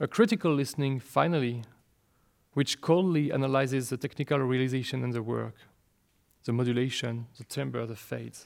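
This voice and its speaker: A man talks at a fairly quick pace with a French accent. His pitch varies in an ordinary way. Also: medium pitch for a man. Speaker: speaker on a composer's work. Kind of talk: lecture. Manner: formal.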